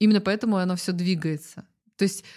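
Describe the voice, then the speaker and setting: A woman speaks in a normal speaking voice at a medium pitch, with ordinary pitch variation. The recording is very clean, with a silent background. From Belarus, Zhodzina. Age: 30s. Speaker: food community organizer. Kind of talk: casual chat.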